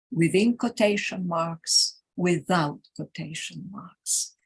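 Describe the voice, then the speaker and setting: A woman with a Greek accent, a somewhat breathy, fairly low voice, lively intonation and a very slow pace. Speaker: teacher educator. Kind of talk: conference workshop presentation. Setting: live conference workshop.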